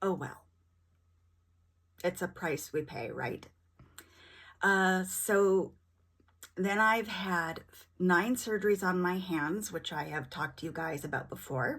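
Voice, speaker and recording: Woman at medium pitch with lively intonation, a very slow pace and long, frequent pauses, in a very clean recording with a silent background. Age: 50s. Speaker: vlogger living with rheumatoid arthritis. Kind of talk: casual vlog monologue.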